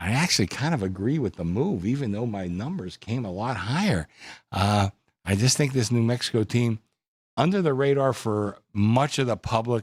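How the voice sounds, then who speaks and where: Speaking at a moderate pace in a plain, everyday voice, a man with a medium pitch uses lively intonation in a dry, close sound with no echo. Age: 60s. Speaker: bookmaker. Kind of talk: sports betting panel discussion. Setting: studio.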